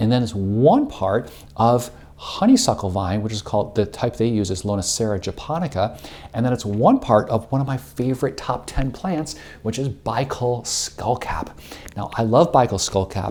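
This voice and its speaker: This man's pitch is medium, and he uses ordinary pitch variation. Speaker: herbalism school director and educator. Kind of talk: informal educational talk. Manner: fast.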